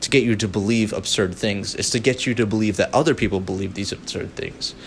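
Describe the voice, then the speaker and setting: Speech at a very fast pace comes through noticeable background noise. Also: man, fairly low pitch for a man. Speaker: political commentary youtuber. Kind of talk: unscripted rant. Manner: animated.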